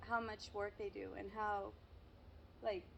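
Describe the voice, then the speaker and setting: Over noticeable background noise, a woman with a Spanish accent talks at a moderate pace. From Mexico. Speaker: YouTuber. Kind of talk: casual interview.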